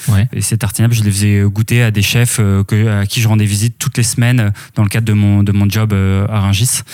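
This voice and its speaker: Delivery is at a fairly quick pace, with very even loudness and monotone, flat intonation. The recording is very clean, with a silent background. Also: man, fairly low pitch for a man. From Normandy, France. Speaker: artisanal food producer. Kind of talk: interview conversation. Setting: home kitchen. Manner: hesitant, many fillers.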